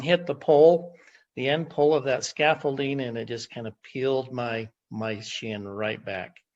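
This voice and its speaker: Against a quiet background, a man talks fairly slowly in a plain, everyday voice with ordinary pitch variation. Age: 60s. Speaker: testimonial giver. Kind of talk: testimony. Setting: video call.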